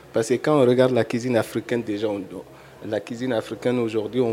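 The voice has a dark, mellow tone and fairly even intonation. It moves at a very fast pace. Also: man. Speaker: restaurant chef. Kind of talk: live radio panel discussion. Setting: outdoor live broadcast with audience. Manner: halting.

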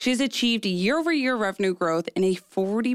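A woman with a plain, everyday voice uses lively intonation in a dry, close sound with no echo. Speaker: podcast host. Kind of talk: casual chat.

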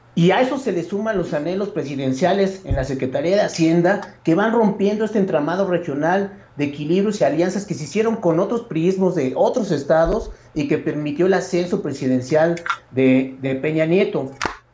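Amid audible room echo, a man speaks at a moderate pace with high pitch and lively intonation. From State of Mexico. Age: 50s. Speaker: political analyst. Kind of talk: political analysis conversation. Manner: formal.

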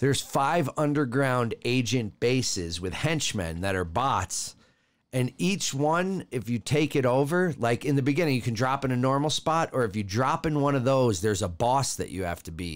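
A man with a plain, everyday voice at medium pitch, moderate pace and lively intonation, on a very clean recording with a silent background. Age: 30s. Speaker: podcast co-host. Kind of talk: casual chat.

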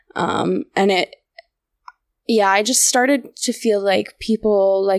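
A woman at a medium pitch and a fairly slow pace, on a very clean recording with a silent background. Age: 20s. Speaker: young person in addiction recovery. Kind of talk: personal story interview. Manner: hesitant, many fillers.

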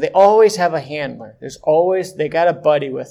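A man with an American accent, a high pitch, a dark, mellow tone, lively intonation and a moderate pace. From Pittsburgh, Pennsylvania. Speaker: podcast co-host. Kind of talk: casual chat, news banter. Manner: joking, dry humor.

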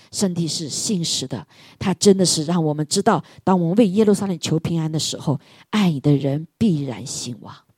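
A woman speaks at a moderate pace with lively intonation and a somewhat breathy voice. The sound is dry and close, with no echo. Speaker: preacher leading prayer. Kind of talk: sermon with fervent prayer. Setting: church. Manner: fervent, urgent, repetitive exhortation; animated, rallying the congregation.

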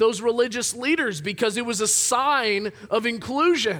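A man's extremely high, raised, projected voice, animated in tone, at a fairly slow pace. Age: 30s. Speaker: pastor. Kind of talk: sermon. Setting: church.

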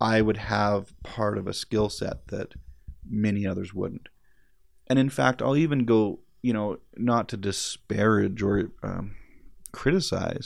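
An unremarkable speaking voice from a man with a Canadian accent, fairly low in pitch, with ordinary pitch variation and a fairly slow pace. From Edmonton, Alberta, Canada. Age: 40s. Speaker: film editor. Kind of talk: interview.

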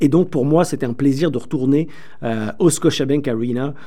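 A man with a medium pitch and dark, mellow tone talks at a moderate pace with ordinary pitch variation. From France. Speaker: sports radio host. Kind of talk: radio sports talk show. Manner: animated.

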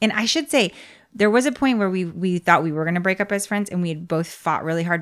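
Heard on a very clean recording with a silent background, a woman has an unremarkable speaking voice at medium pitch with ordinary pitch variation. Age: 40s. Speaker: podcast co-host. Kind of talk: casual chat.

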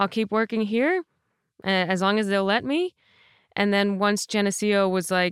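With an American accent, a woman speaks in an ordinary speaking voice at medium pitch and moderate pace, her intonation fairly even, in a very clean, dry, close recording with a silent background and no echo. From Buffalo, New York, US. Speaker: comedian. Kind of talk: casual chat.

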